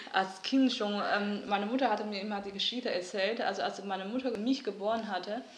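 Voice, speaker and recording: With a Mandarin Chinese accent, a woman speaks fairly quickly at medium pitch with fairly even intonation, amid audible room echo and noticeable background noise. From northeast China, Liaoning. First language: Mandarin Chinese (speaking German). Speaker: artist. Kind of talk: interview. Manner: halting, many fillers.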